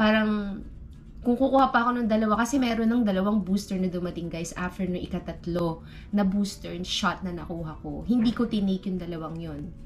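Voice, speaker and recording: A woman talks at a fairly brisk clip, her pitch medium and its movement ordinary, with background noise clearly audible. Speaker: vlogger. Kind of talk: casual vlog talk. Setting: bedroom at home.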